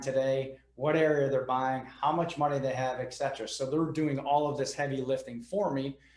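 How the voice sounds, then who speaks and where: A man with a plain, everyday voice, a fairly high pitch and a moderate pace. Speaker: real estate investor and business owner. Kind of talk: podcast interview.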